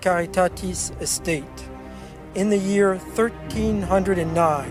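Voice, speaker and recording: A man with an American accent talks fairly slowly while music plays in the background. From Virginia, USA. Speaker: monk and vineyard worker. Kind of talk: corporate narration.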